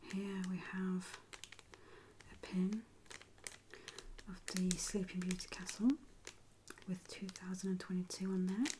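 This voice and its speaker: The speaker is soft-spoken, with a relaxed tone, a fairly slow pace and long, frequent pauses. Background noise is noticeable. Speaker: ASMR creator. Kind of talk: ASMR soft-spoken show-and-tell. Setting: quiet indoor recording, close to microphone. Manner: soft-spoken, slow, relaxed. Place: home room.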